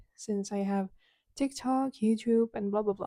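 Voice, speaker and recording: A woman with a Ukrainian accent speaks at a fairly high pitch in a dark, mellow tone with fairly even intonation, the sound dry and close with no echo. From Ukraine. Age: 20s. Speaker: podcaster and content creator. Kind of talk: casual solo podcast chat.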